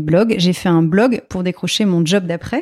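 An unremarkable speaking voice is heard, its pitch varying normally. The recording sounds dry and close, without any echo. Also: woman. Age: 40s. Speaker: ceramics artisan and entrepreneur. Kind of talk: interview.

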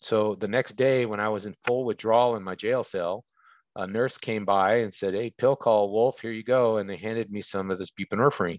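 This man has a normal speaking voice, fairly low in pitch, delivered at a moderate pace with fairly even intonation. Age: 50s. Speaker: recovery and homelessness advocate. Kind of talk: interview.

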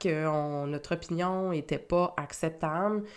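At a very slow pace, a woman speaks with ordinary pitch variation on a very clean recording with a silent background. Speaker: spiritual coach and podcast host. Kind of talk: solo podcast talk. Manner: hesitant with repetitions.

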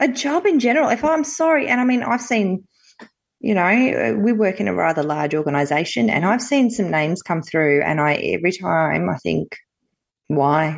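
In an Australian accent, a woman with a medium pitch and vocal fry speaks at a moderate pace, her pitch swinging very widely while her loudness stays very even. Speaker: podcast co-host. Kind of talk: casual chat.

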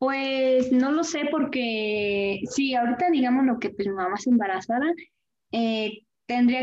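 Here is a woman with an unremarkable speaking voice. She pitches it fairly high. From Querétaro, Mexico. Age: 20s. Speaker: interviewee. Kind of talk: interview.

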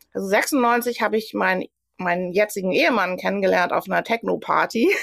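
Her delivery is fairly quick. The woman's pitch sits in the medium range and varies in an ordinary way. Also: very even loudness. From Germany, Sauerland. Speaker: Pilates instructor. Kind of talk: interview.

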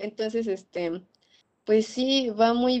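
A woman at a very slow pace. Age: 20s. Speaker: veterinary student. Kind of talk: interview.

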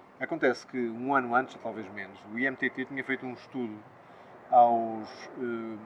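Fairly even intonation is heard over noticeable background noise. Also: man. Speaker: politician, party candidate. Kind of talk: political interview.

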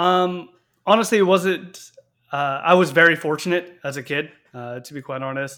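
A man with a Canadian accent speaks at a high pitch in a bright, sharp tone. His pitch varies in an ordinary way, his loudness swings widely, and his pace is moderate. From Canada, Victoria BC. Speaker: cadet instructor officer. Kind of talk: interview.

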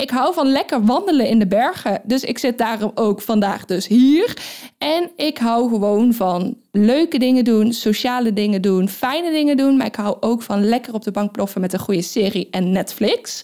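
Lively intonation runs through a dark, mellow tone at a moderate pace. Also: woman, fairly high pitch for a woman. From Netherlands, Brabant. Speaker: business coach and firefighter. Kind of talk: interviewed in casual conversation. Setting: recording in Austria with two interviewers.

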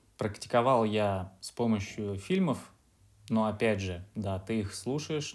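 On a very clean recording with a silent background, a man talks very slowly. His pitch is fairly low. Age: 30s. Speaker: office worker, former exchange student. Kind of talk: interview.

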